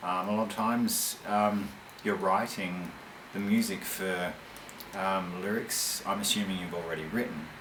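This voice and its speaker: A man speaks at a fairly slow pace with a fairly low pitch. Audible room echo and noticeable background noise fill the recording. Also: fairly even intonation. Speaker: metal band vocalist answering fan questions. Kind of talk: monologue answering fan questions. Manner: halting, many fillers.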